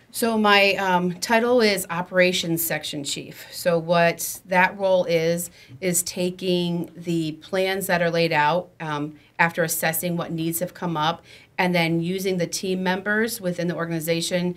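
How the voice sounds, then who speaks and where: Fairly slow delivery with fairly even intonation. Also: woman. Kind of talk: interview answer. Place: meeting room. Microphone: studio mic.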